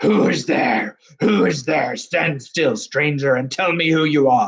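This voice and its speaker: Putting on a growling character voice, a man speaks fairly slowly at a fairly high pitch. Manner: menacing.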